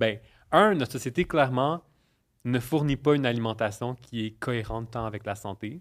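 On a very clean recording with a silent background, a man speaks with a Quebec accent at a moderate pace, his medium pitch showing ordinary variation. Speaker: nutritionist and podcaster. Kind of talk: casual chat.

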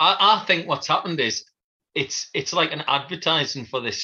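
At a moderate pace, a man speaks with a bright, sharp tone and a slightly husky edge.

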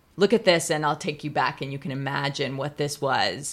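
In a Californian accent, a woman with very deep, low pitch speaks at a moderate pace. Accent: Californian American. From Pasadena, Southern California. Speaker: museum curator and historian. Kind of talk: casual interview conversation. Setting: outdoors.

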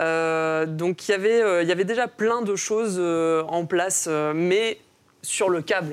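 A woman speaks very slowly at a fairly low pitch with ordinary pitch variation and very even loudness, in a very clean recording with a silent background. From Mauritius. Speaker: comics author and film and comics teacher. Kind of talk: casual panel discussion.

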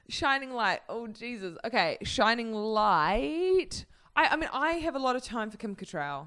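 Bright and sharp in tone, a woman with a New Zealand accent speaks fairly slowly at a fairly high pitch with very wide pitch swings, on a very clean recording with a silent background. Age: 20s. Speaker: comedian. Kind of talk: casual chat.

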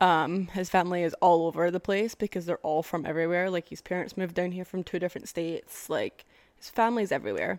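A woman talks very fast with an American accent, with hardly any pauses, at a fairly low pitch. The recording is very clean, with a silent background and a dry, close sound with no echo. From Scotland. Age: 20s. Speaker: podcast host. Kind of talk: casual chat, monologue to audience. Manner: chatty, animated, casual.

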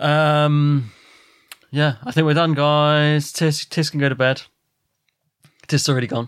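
In an English accent, a man with a fairly high pitch talks at a fairly slow pace with monotone, flat intonation and long, frequent pauses. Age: 30s. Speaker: podcast host. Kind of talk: casual chat.

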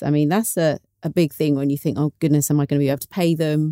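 At a fairly quick pace, a woman speaks with a dark, mellow tone and a very deep, low pitch, in a dry, close sound with no echo. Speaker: podcast host. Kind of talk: interview.

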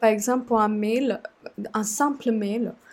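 A woman with a Sri Lankan accent speaks in a fairly high pitch with a dark, mellow tone and monotone, flat intonation. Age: 20s. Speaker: communications officer and student. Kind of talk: casual interview conversation. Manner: halting, many hesitations.

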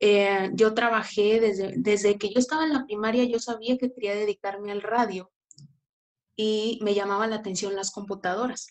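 The intonation stays fairly even. Delivery is at a moderate pace. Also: woman, fairly high pitch for a woman. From Mexico, Tampico, Tamaulipas. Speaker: podcaster and community manager. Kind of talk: interview conversation.

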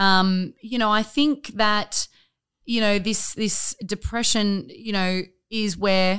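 A bright, sharp tone with ordinary pitch variation and an Australian accent, on a very clean recording with a silent background. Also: woman. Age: 30s. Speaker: gym owner. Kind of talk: casual chat.

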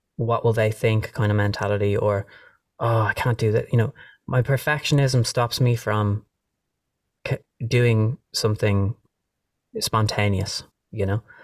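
A man with a Dublin accent at a fairly slow pace, somewhat breathy, with fairly even intonation, very even loudness, long, frequent pauses, and a dry, close sound with no echo. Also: medium pitch for a man. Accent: Dublin Irish. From Ireland, Dublin. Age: 30s. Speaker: musician. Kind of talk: casual chat. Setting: video call.

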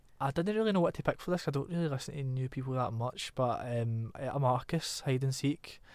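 A man with a Glaswegian accent, fairly high pitch, and very fast pace. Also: ordinary pitch variation, very clean recording, silent background. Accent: Glaswegian Scottish. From Glasgow, Scotland. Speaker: singer-songwriter. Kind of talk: casual interview chat. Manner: casual, laughs a lot.

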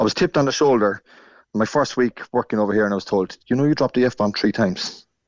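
A man with an Irish accent speaks at a very fast pace. His loudness stays very even, with ordinary pitch variation. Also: medium pitch for a man. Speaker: Irish emigrant. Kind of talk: casual chat. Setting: phone call. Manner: animated.

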